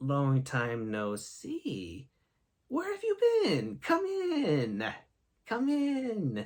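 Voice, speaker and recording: Very slow pacing in a put-on character voice. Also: man. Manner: warm, welcoming.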